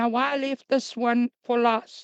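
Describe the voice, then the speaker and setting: A high-pitched woman's voice in a dry, close sound with no echo. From Africa. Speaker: crypto business presenter. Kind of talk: sales presentation. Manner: hesitant, many fillers.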